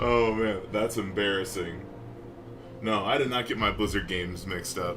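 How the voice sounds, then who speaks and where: Speaking with an American accent, a man's voice carries a noticeable room echo. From US Mid-South. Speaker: gamer streaming a playthrough. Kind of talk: casual gameplay commentary.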